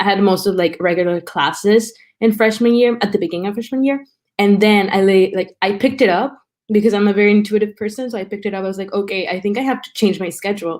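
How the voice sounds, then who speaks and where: At a very fast pace, a woman with a Spanish accent speaks at a medium pitch with ordinary pitch variation. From Mexico and South Texas. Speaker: college student. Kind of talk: interview, personal story. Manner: casual, many fillers.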